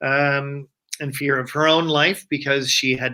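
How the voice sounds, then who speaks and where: The man has a medium pitch and a bright, sharp tone. He talks at a moderate pace with a slight Nova Scotian accent. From Nova Scotia, Canada. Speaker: interview guest. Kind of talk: casual chat.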